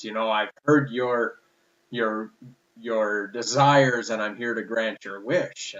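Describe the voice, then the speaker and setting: Doing a put-on character voice, a man speaks in a booming, medium-pitched voice. His pace is fairly slow and his intonation fairly even. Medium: solo performance. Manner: terse, authoritative.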